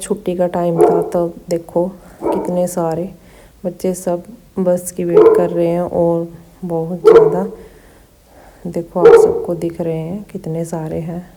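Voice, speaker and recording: A woman talks at a fairly low pitch in a monotone, flat delivery, with big swings in loudness. Long, frequent pauses break it up, and noticeable background noise is present. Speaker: vlogger. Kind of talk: travel vlog narration. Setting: on a bus. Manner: casual.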